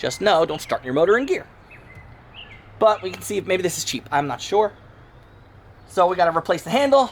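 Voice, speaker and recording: A man is heard speaking against noticeable background noise. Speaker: DIY mechanic YouTuber. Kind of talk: repair tutorial. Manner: casual, with false starts.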